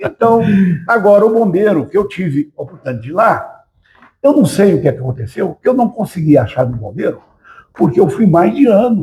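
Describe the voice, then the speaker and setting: High-pitched male speech with very wide pitch swings, delivered at a moderate pace. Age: 80s+. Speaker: retired military police officer. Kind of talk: interview.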